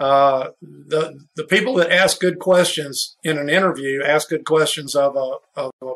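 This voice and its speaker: This man has an ordinary speaking voice, fairly high in pitch with ordinary pitch variation. He talks at a fairly slow pace with hardly any pauses. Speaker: insurance executive. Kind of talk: casual interview.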